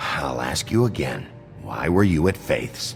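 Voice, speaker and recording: A put-on character voice from a man, growling and very deep, with very wide pitch swings and a fairly slow pace over clear music in the background. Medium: video game. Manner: terse, gruff.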